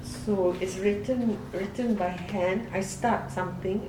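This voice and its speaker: A woman with a medium pitch speaks at a very slow pace with fairly even intonation. Noticeable background noise and audible room echo fill the recording. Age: 80s+. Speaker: novelist. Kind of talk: documentary interview.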